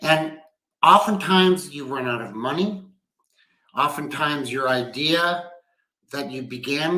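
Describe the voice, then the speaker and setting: Audible room echo surrounds this man's voice. His pitch is fairly high, with ordinary variation. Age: 60s. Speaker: business executive. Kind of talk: livestream talk. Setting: at home. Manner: conversational.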